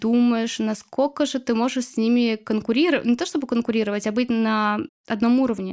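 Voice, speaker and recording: A woman's fairly high, fairly evenly intoned voice at a fairly quick pace, an ordinary speaking voice. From Chuvashia, Russia. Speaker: illustrator and blogger. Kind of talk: casual interview chat.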